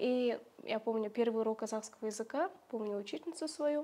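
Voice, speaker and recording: Pitch varies in an ordinary way as a woman talks fairly quickly. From Kazakhstan, rural village. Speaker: Kazakh language teacher and social media creator; Kazakh language teacher, social media creator. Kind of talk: interview. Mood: warm, reminiscing. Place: home room. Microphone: lapel.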